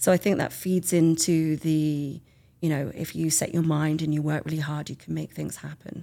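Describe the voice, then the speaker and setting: Very deep and low for a woman, her voice carries a dark, mellow tone and an English accent in a flat monotone, on a very clean recording with a silent background. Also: moderate pace. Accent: English, self-described as dodgy. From England. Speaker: artist and book author. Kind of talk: casual interview.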